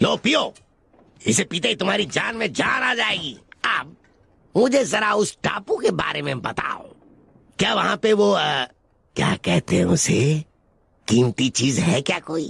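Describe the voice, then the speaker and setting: Speaking at a moderate pace, a man uses a high pitch with very wide swings. His speech has long, frequent pauses. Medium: fan dub. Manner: smooth, falsely friendly, scheming.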